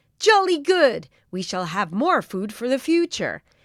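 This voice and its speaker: A woman uses a put-on character voice, high-pitched with very wide pitch swings. She talks at a moderate pace. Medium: read story.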